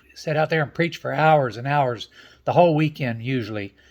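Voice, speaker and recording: Here a man speaks with a Southern US accent and lively intonation. His pace is fairly quick, and the recording is very clean with a silent background. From Tampa, Florida. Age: old. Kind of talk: joke telling, folksy storytelling to camera.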